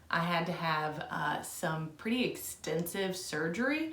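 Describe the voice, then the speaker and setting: Noticeable background noise behind a woman speaking at a fairly low pitch. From Southern Indiana, US. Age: 30s. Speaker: book reviewer. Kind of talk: casual talk to camera.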